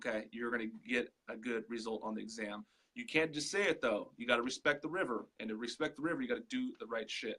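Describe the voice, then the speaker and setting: A loud man's voice at medium pitch, bright and sharp in tone, very fast, with ordinary pitch variation. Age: 30s. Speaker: digital marketing entrepreneur. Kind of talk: casual interview. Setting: live video call. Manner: animated.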